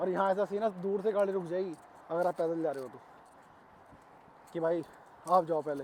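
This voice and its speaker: A man's high voice at a moderate pace, fairly even in intonation, with long, frequent pauses. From India, Ghaziabad (Uttar Pradesh). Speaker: vlogger. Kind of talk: casual vlog monologue. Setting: outdoors, walking. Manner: casual, conversational.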